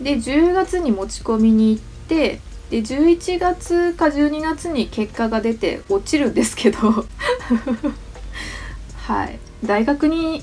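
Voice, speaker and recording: A high-pitched woman's voice at a fairly slow pace, lively in intonation, with long, frequent pauses and noticeable background noise. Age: 30s. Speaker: manga artist. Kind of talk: casual talk to camera.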